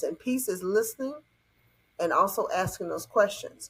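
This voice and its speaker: A moderate pace in a Southern US accent. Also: woman. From US South. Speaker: conflict resolution coach. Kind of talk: podcast interview. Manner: animated.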